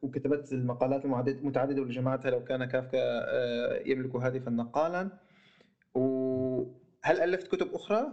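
A man with a Syrian accent at medium pitch, fairly slow in pace, with very even loudness and fairly even intonation. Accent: Levantine (Syrian) Arabic. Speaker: podcast host. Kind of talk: casual interview. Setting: remote call, host in Germany.

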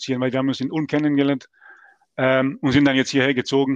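With a quiet background, the man here speaks fairly quickly. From Bosnia and Herzegovina, Mostar. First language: Serbo-Croatian (speaking German). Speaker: gaming league player. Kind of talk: podcast interview.

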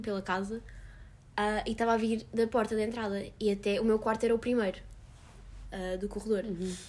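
At a moderate pace, a woman talks in a medium pitch with flat, monotone intonation. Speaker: podcast guest. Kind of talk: casual chat.

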